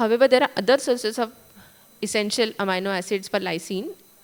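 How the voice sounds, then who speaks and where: A woman is speaking. She has an Indian accent. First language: Marathi. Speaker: food testing lab director. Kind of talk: conference talk. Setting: conference stage.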